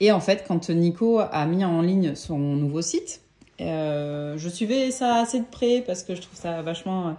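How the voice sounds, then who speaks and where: Lively intonation in a dark, mellow tone at a fairly slow pace, with big swings in loudness over a quiet background. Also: woman, fairly low pitch for a woman. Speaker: tarot deck collector and YouTuber. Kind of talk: casual vlog review. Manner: hesitant with many fillers.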